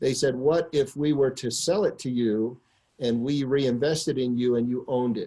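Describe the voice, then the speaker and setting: In an American accent, a man talks at a moderate pace and a medium pitch, his tone dark and mellow. Intonation is fairly even, and the background is quiet. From US Northeast, near New York City. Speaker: business executive telling company origin story. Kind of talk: storytelling on a conference call. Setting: conference call. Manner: filler-heavy, repeats words.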